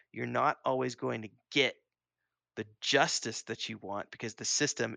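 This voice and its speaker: A man with an American accent, fairly slow, in a dry, close sound with no echo. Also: quiet background. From Missouri, US Midwest. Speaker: gaming podcast co-host and game developer. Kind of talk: casual chat. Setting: live stream.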